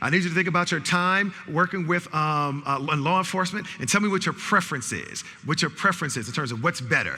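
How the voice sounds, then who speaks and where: Over noticeable background noise, a man with an American accent and a high pitch talks at a very fast pace in an animated tone, with ordinary pitch variation and hardly any pauses. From New York City. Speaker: speaker and bias trainer. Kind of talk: interactive lecture. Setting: stage with audience.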